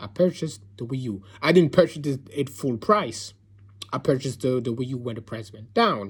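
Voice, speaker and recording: At a fairly quick pace, a man talks somewhat breathily, his pitch medium and ordinarily varied. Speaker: gaming commentator. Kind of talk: rant. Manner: soft-spoken.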